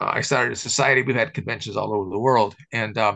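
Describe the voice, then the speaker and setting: Bright and sharp with vocal fry, a man's voice races along at a very fast pace in an American accent. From US Midwest. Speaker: camera historian. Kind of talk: casual chat. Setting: video call.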